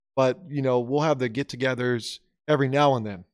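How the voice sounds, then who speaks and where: The sound is dry and close with no echo as a man with an American accent speaks at a medium pitch. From US, Oklahoma small town. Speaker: podcast co-host. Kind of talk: casual chat.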